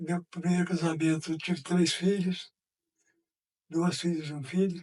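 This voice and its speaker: A man speaks in a high voice with monotone, flat intonation. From Minas Gerais, Brazil (Uberaba). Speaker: former mayor. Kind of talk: interview testimony.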